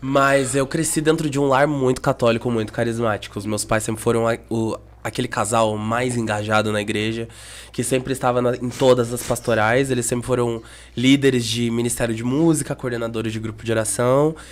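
His pitch sits in the medium range. The man keeps a fairly quick pace. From Brazil, Curitiba. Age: 20s. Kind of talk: casual chat. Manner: animated.

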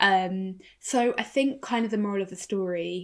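Using a plain, everyday voice, a woman speaks at a medium pitch with fairly even intonation. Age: 30s. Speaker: podcast co-host. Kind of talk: casual chat.

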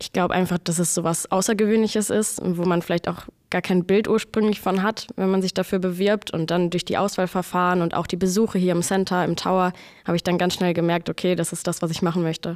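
Speaking very fast in a flat monotone, a woman with a medium-pitched voice is heard in a dry, close sound with no echo on a very clean recording with a silent background. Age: 20s. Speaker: air traffic controller. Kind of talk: casual interview chat.

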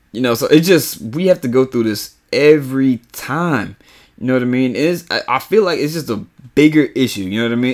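A man speaks at medium pitch with an American accent, his intonation lively and his pace fairly quick. The recording is very clean, with a silent background. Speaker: podcast host. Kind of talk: angry rant. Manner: impassioned, emphatic, repetitive.

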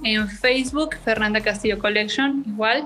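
A woman with a Mexican accent speaks at a fairly slow pace in a fairly high pitch. Noticeable background noise runs underneath. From Mexico, Chilpancingo, Guerrero. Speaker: fashion entrepreneur. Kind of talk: interview.

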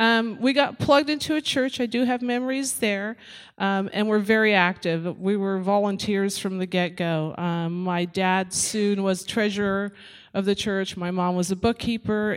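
A woman has a normal speaking voice at a medium pitch. She talks at a moderate pace with ordinary pitch variation. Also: very clean recording, silent background. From Netherlands, moved to US as child. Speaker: church member. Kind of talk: testimony.

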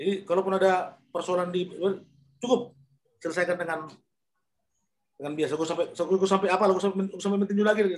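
Speaking very fast in a high voice, the man keeps his intonation fairly even but stops for long, frequent pauses. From North Sumatra, Indonesia (Pematang Siantar). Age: 50s. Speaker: former boxer. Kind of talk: interview.

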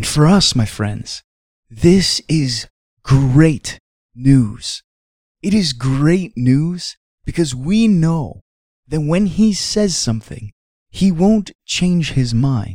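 Somewhat breathy and fairly high in pitch, a man speaks at a very slow pace with very wide pitch swings and long, frequent pauses. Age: 30s. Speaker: devotional podcast host. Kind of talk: devotional reflection.

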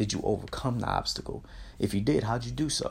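On a very clean recording with a silent background, a man speaks with lively intonation and vocal fry. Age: 30s. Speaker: motivational podcast host. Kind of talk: motivational monologue. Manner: animated.

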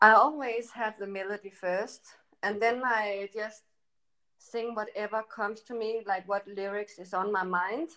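In a Danish accent, a woman with a fairly high pitch and a bright, sharp tone talks at a fairly slow pace with fairly even intonation. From Denmark, countryside. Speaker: electropop singer and model. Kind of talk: interview.

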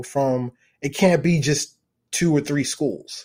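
In a very clean recording with a silent background, a man with an American accent speaks at a fairly slow pace, his dark, mellow tone set at a fairly high pitch with ordinary variation. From US, Baltimore, Maryland. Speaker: venture capital fund manager. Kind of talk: interview.

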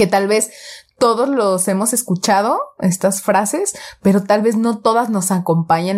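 A woman with a Mexican accent speaks at a fairly slow pace with ordinary pitch variation, in a very clean recording against a silent background. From Mexico, Jalisco (Guadalajara area). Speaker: podcast co-host. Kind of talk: casual chat.

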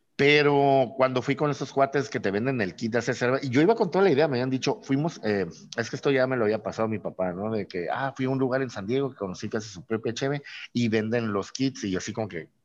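Over a quiet background, the speech runs at a very fast pace with ordinary pitch variation. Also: man. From Mexico, Tijuana. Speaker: craft brewer. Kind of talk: casual interview.

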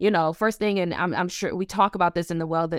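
A woman with an American accent talks at a fairly quick pace in an animated tone, fairly low in pitch with ordinary pitch variation, in a very clean recording with a silent background. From Buffalo, New York, US. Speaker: relationship coach. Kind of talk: casual interview chat. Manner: animated, laughs often.

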